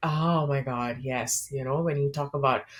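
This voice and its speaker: Her voice is somewhat breathy. The woman speaks at a fairly slow pace. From India, Kolkata. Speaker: startup founder. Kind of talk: interview. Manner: animated.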